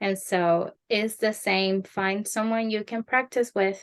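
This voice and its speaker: In a Spanish accent, a woman speaks at a very slow pace. Her pitch is fairly high, and the background is quiet. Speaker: Spanish conversation teacher. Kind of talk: interview advice.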